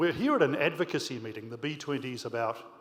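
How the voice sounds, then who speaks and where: A man talks at a fairly quick pace in a New Zealand accent. His pitch is medium, with ordinary variation. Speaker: business leader, audience questioner. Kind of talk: audience question at panel. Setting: conference hall with audience.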